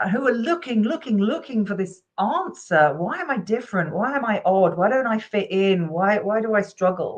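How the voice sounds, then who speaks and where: Her tone is animated, and her pitch, fairly high, swings very widely. The woman keeps a moderate pace with hardly any pauses. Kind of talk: interview.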